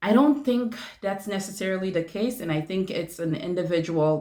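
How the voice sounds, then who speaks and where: A woman is speaking. She has a non-native accent. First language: not English. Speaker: family nurse practitioner, video creator. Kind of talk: casual vlog talk to viewers. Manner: hesitant, many fillers.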